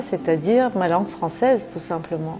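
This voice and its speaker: With a Turkish accent and lively intonation, a woman speaks over music in the background. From Turkey. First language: Turkish (speaking French). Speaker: writer. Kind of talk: interview.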